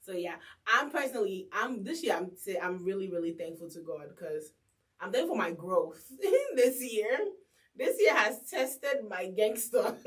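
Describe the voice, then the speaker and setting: This woman talks at a moderate pace in a medium pitch. Her tone is animated, with lively intonation and big swings in loudness. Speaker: radio host and podcast co-host. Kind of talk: casual chat.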